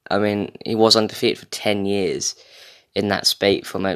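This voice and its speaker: A man speaks with an English accent on a very clean recording over a silent background. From England. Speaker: podcast host. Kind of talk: casual solo monologue. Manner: rambling, frequent fillers.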